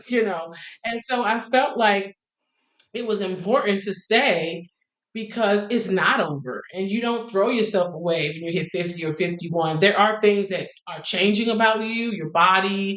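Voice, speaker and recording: Room echo can be heard. The talking goes at a moderate pace. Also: woman, medium pitch for a woman, ordinary pitch variation. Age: 50s. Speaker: singer. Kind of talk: interview.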